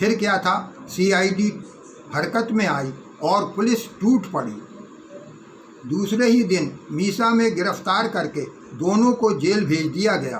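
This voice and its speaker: Against noticeable background noise, a man with a high voice talks with long, frequent pauses. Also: ordinary pitch variation. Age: 80s+. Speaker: political activist and Urdu poet. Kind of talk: spoken remembrance.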